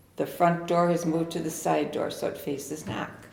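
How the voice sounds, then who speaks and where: Speaking at a moderate pace with an American accent, a woman is heard with audible room echo and noticeable background noise. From US Midwest, Milwaukee's Bay View. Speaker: longtime local resident. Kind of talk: oral history interview. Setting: historic house, in person.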